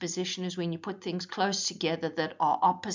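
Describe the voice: Simply plain reading aloud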